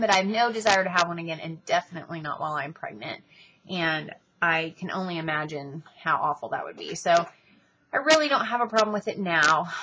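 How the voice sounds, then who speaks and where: With a plain, everyday voice, a woman of fairly low pitch talks at a fairly quick pace, her lively intonation paired with big swings in loudness. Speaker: vlogger. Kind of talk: casual vlog monologue.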